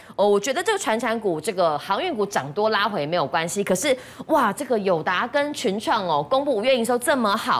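A woman talks at a fairly quick pace and a fairly high pitch with very wide pitch swings. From Taiwan. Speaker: stock market show host. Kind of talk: TV finance talk show hosting. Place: studio. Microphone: lapel.

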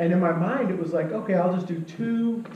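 A man speaks at a high pitch and a fairly quick pace. There is audible room echo and light background noise. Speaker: pastor. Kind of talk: sermon. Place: church. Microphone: camera far.

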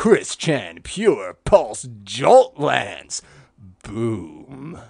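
This man puts on a character voice and delivers it at a very slow pace. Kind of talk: comic overacting. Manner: sarcastic, deadpan.

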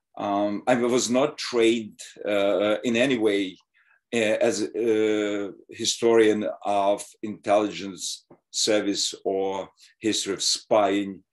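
Against a quiet background, a man talks very slowly in a monotone, flat intonation. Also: fairly low pitch for a man. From Soviet Ukraine. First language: Russian or Ukrainian. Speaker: history professor. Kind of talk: lecture. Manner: halting. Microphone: webcam.

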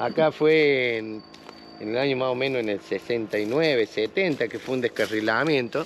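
Very slowly, a man speaks at a medium pitch with ordinary pitch variation, the sound dry with no echo over light background noise. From Argentina. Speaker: local resident; interviewee. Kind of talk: interview. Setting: outdoors. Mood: reminiscing, friendly. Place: open country.

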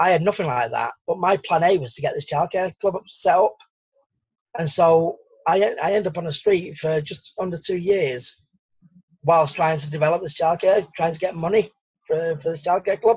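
With long, frequent pauses, a high-pitched man speaks at a moderate pace and with ordinary pitch variation, against a quiet background in a dry sound with no echo. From Salford, north-west England; north-west England. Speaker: survival coach; interview guest. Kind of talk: interview. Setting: radio interview. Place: home room. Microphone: video call.

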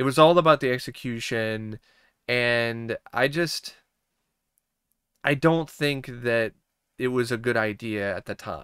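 Against a quiet background, a man speaks very slowly with ordinary pitch variation and long, frequent pauses, in a dry sound with no echo. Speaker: movie reviewer. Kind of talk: commentary. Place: home room.

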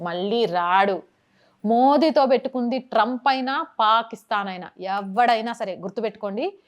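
In a normal speaking voice, a woman talks at a fairly high pitch. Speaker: journalist. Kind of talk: news commentary to camera.

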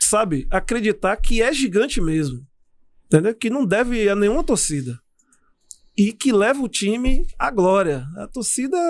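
His pitch swinging very widely, a man speaks at a fairly slow pace. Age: 40s. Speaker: former footballer; guest. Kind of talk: interview. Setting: studio. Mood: reflective, warm. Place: studio. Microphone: studio mic.

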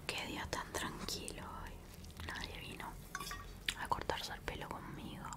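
A woman's fairly slow speech with long, frequent pauses over loud background noise. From Uruguay. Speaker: ASMR creator. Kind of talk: ASMR roleplay. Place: home room. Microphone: studio mic.

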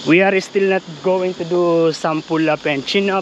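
Recorded dry with no echo over light background noise, a man talks at a fairly slow pace. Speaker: vlogger. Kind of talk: casual vlog chat. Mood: relaxed, laughing. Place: bicycle. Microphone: lapel.

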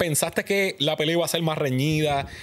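This man's voice sits fairly high in pitch. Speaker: podcast host. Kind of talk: interview. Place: studio. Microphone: studio mic.

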